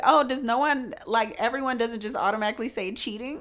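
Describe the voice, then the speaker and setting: A woman's high-pitched voice at a fairly quick pace, animated in tone, with ordinary pitch variation. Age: 20s. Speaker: podcast co-host. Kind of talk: casual chat.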